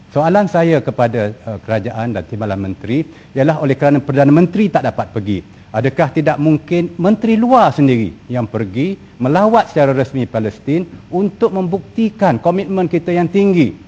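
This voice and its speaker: The voice has a dark, mellow tone, somewhat breathy, and moves at a moderate pace. Its pitch swings very widely. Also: man, fairly high pitch for a man. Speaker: member of parliament. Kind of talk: parliamentary question. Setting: parliament chamber. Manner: hesitant with fillers.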